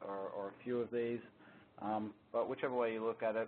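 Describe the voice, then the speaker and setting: A man talks at a fairly quick pace with an Australian accent. His pitch sits in the medium range. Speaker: security solutions architect presenting a webinar. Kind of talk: technical webinar presentation. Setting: conference call. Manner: hesitant, many fillers (um, uh).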